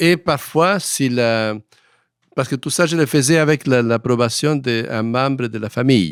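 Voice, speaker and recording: A man speaks with a Spanish accent. The recording is very clean, with a silent background. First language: Spanish (speaking French). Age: 80s+. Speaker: historian. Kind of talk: interview. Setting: studio. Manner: halting.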